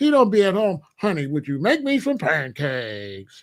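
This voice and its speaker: In a put-on character voice at a middle pitch, the speaker moves at a moderate pace with very wide pitch swings. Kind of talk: professional, polished radio voice.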